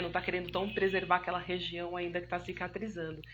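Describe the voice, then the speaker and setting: Vocal fry runs through this woman's speech. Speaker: physiotherapist. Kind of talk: live stream Q&A talk. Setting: online live stream. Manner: fast; warm, chatty.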